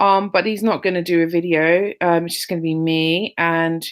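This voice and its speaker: A woman's fairly low voice with a London accent and fairly even intonation. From London, England. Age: 30s. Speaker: interviewer, online group admin. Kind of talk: interview.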